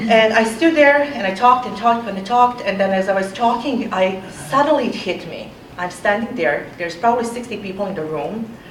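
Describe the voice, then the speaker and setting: A woman with a non-native accent speaks fairly quickly at a fairly high pitch, with ordinary pitch variation and hardly any pauses. Her loudness swings widely, and there is audible room echo along with noticeable background noise. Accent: foreign. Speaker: architecture professor. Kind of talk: panel talk. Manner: hesitant with fillers.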